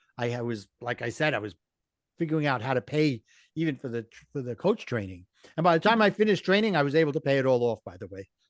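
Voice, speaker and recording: Against a quiet background, a man with an American accent and a fairly high pitch talks at a very fast pace, his pitch swinging very widely and his loudness rising and falling sharply, all in a dry, close sound with no echo. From Brooklyn, New York. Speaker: life coach and author. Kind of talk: podcast interview.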